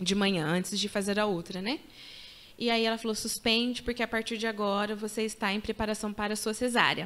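Heard on a very clean recording with a silent background, a woman in a normal speaking voice talks at a fairly quick pace and fairly high pitch, with fairly even intonation and very even loudness. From Paraná, Brazil. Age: 30s. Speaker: mother and social psychologist. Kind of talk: testimony.

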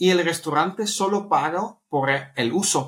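Here a man speaks with a Dutch accent. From Netherlands. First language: Dutch (speaking Spanish). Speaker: startup co-founder. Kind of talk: interview. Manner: halting.

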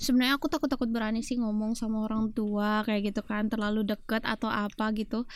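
At a very fast pace, a woman speaks with fairly even intonation and very even loudness. The recording is very clean with a silent background. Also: fairly high pitch for a woman. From Sumbawa, Indonesia. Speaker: university student, guest. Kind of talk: casual interview chat. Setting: studio.

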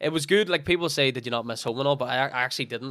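A man talks at medium pitch. His pitch varies in an ordinary way. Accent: Northern Irish. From Northern Ireland. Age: 20s. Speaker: fitness coach and former footballer. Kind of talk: casual chat.

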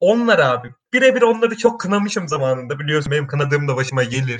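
Very wide pitch swings in a man's very fast speech. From Turkey, Kastamonu. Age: 20s. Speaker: podcast co-host, architecture student. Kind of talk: casual chat.

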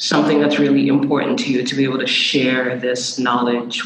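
The man's voice has a medium pitch and monotone, flat intonation at a moderate pace. There is audible room echo. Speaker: podcast host. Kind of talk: interview.

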